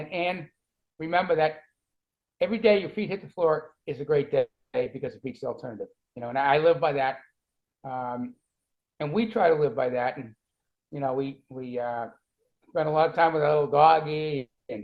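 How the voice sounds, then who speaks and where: With a Boston accent, a man speaks at a moderate pace in a fairly high pitch, with ordinary pitch variation. His loudness swings widely, and he takes long, frequent pauses. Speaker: cancer survivor and author. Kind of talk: interview.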